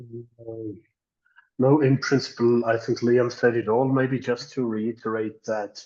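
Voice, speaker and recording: With a non-native accent, a man speaks at a fairly slow pace in a medium pitch, his intonation monotone and flat and his tone dark and mellow. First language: not English. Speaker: academic. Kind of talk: panel discussion. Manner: halting.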